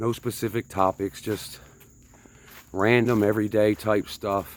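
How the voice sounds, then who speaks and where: A man with a northern US accent talks in a fairly low pitch. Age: 50s. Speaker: vlogger. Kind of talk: casual vlog monologue while hiking. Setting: outdoors on hiking trail.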